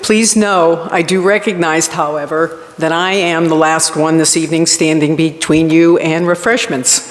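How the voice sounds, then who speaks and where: A woman with an American accent, fairly low pitch, fairly even intonation and very even loudness, at a fairly slow pace with hardly any pauses, over noticeable background noise. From Rhode Island, US. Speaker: college campus director. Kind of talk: award acceptance speech.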